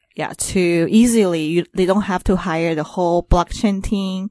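With a Taiwanese accent, a woman talks at a fairly slow pace and fairly low pitch, the sound dry and close with no echo against a quiet background. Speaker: entrepreneur in crypto business development. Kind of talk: casual interview chat. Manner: halting, hesitant with fillers.

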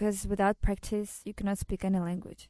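Against a quiet background, a woman with a Russian accent speaks at medium pitch in a dark, mellow tone, the sound dry and close with no echo. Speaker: model and actress. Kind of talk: interview.

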